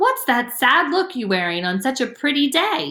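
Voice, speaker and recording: A woman does a put-on character voice, high-pitched and sing-song. She keeps a moderate pace while her pitch swings very wide. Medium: read story.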